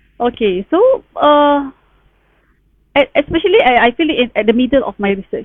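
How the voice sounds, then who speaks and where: Speaking in a Malaysian accent at a moderate pace, the voice swings very widely in pitch and leaves long, frequent pauses. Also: woman, high pitch for a woman. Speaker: town planner sharing PhD experience. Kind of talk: online talk, personal sharing. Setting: Facebook live stream. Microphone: sound issues on the live stream.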